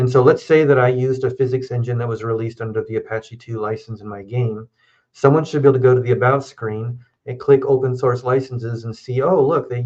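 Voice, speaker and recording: The voice is somewhat breathy and moves at a fairly quick pace with fairly even intonation. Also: man. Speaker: lawyer. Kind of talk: live Q&A chat on law. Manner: fast.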